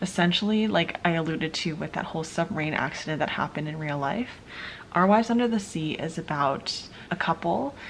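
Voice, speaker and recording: This woman whispers, soft-spoken throughout. Her pace is fairly quick. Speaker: book vlogger. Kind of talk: casual vlog talk. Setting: at home late at night. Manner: whispering, soft.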